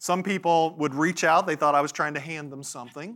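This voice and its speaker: A man speaks at a moderate pace in a fairly high pitch, his tone bright, sharp and animated. His pitch variation is ordinary. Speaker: banking industry speaker. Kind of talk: conference presentation. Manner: animated, talks with his hands.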